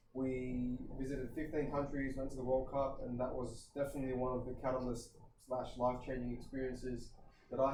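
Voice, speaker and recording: Over noticeable background noise and audible room echo, a man at a medium pitch talks very fast in a monotone, flat delivery. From Australia, western Sydney. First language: Kurdish. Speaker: personal trainer and gym owner. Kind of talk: podcast interview.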